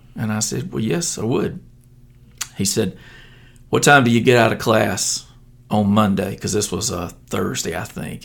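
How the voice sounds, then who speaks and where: A man at a moderate pace, medium in pitch, with ordinary pitch variation. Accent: Alabama. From US South, southeast Alabama. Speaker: stadium announcer. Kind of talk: interview.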